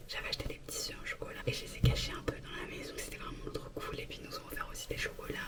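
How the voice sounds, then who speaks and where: Whispering at a very fast pace with hardly any pauses, a woman is heard through audible room echo and noticeable background noise. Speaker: vlogger. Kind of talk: casual vlog talk. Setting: bathroom.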